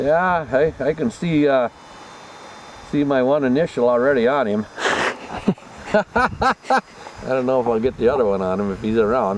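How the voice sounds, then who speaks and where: Over noticeable background noise, a man with an American accent speaks at a medium pitch and a moderate pace. His intonation is lively, and he takes long, frequent pauses. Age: 60s. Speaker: hunter. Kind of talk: casual chat. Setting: outdoors.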